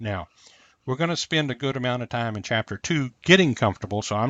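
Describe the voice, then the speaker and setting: With lively intonation, a man talks at a medium pitch. He has an ordinary speaking voice. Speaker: physics or engineering instructor. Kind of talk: lecture.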